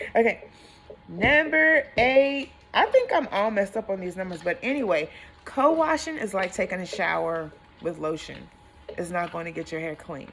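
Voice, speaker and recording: Over noticeable background noise, a woman talks at a moderate pace in a medium pitch. Her pitch swings very widely. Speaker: hairstylist. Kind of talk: tutorial. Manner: animated.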